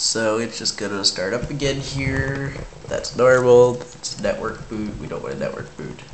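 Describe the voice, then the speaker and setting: Noticeable background noise runs under a man talking at a moderate speed. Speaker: tech YouTuber. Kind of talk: casual tutorial narration. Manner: casual, chatty, slightly halting.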